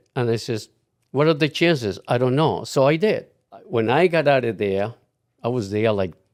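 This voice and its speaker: A man with a Colombian accent, medium pitch, lively intonation and a moderate pace broken by long, frequent pauses, on a very clean recording with a silent background. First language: Spanish. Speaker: retired client. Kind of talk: casual interview.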